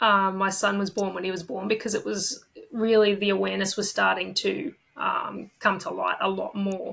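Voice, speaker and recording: Speech in an Australian accent at a moderate pace. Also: woman. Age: 30s. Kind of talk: podcast interview.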